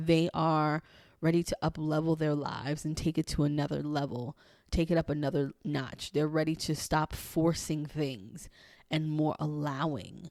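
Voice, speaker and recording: The sound is dry and close with no echo as a woman speaks at a very deep, low pitch. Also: fairly even intonation, moderate pace. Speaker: human design coach and podcaster. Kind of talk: solo podcast monologue.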